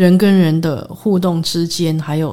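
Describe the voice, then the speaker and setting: Her tone dark and mellow, a woman speaks at a fairly low pitch and fairly slow pace with fairly even intonation. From Taiwan, raised largely in the US. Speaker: concert pianist. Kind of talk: interview. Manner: halting, many fillers and English words.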